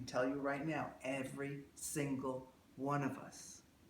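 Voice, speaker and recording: There is vocal fry in this man's medium-pitched voice, and the room echo is audible. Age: 60s. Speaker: emotional release therapist. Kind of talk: workshop talk with live demonstration. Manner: conversational, rambling delivery with fillers.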